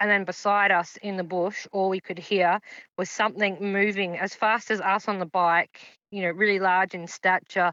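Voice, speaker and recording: Against a quiet background, a woman with an Australian accent speaks at a moderate pace and medium pitch, her bright, sharp tone delivered in a monotone, flat intonation with a dry, close sound and no echo. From Queensland, Australia (Sunshine Coast). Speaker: paranormal witness. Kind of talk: interview testimony.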